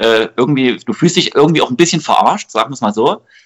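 The man's voice is fairly high in pitch. He talks at a fairly quick pace. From Saxony, Germany (Delitzsch area). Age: 20s. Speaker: amateur footballer and youth coach. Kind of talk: casual interview.

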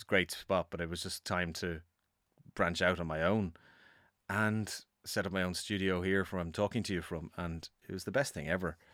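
Recorded very cleanly against a silent background, a man with a Dublin accent speaks in a very deep, low pitch with fairly even intonation. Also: moderate pace. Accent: Dublin Irish. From Ireland, Dublin. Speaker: musician and producer. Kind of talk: casual interview chat. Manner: halting, with many fillers.

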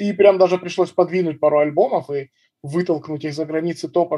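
The man's voice sits at a high pitch. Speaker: musician and stand-up comedian. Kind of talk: casual chat.

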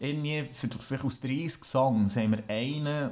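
A man with a Swiss accent at a fairly slow pace. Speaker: musician. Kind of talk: casual chat. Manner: halting.

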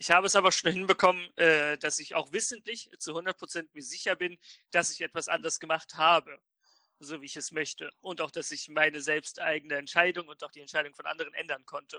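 At a fairly quick pace, a man speaks in a high, bright, sharp voice with fairly even intonation and big swings in loudness, the sound dry and close with no echo. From northern Germany, Oldenburg. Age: 20s. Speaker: podcast co-host. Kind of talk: casual chat.

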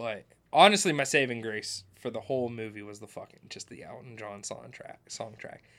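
In a normal speaking voice of medium pitch, a man talks at a moderate pace with ordinary pitch variation and big swings in loudness. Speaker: podcast host. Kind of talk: casual banter, comedic film review.

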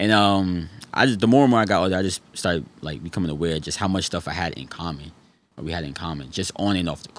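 A man with a New York accent talks at a very fast pace, his very deep, low voice full of vocal fry. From New York City (Harlem and the Bronx). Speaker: former basketball player. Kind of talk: interview. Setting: studio.

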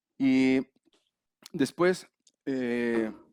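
The sound is dry and close, with no echo. A man talks. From Mexico, León, Guanajuato. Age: 40s. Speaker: grief counselor (thanatologist). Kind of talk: casual interview chat.

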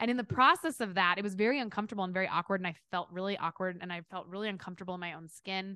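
With hardly any pauses, a woman races along at a very fast pace in an American accent, her medium-pitched voice bright and sharp, animated in tone, with ordinary pitch variation. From Kansas City, US Midwest. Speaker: performance coach. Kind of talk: interview.

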